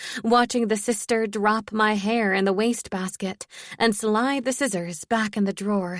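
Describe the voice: Reading aloud, plain.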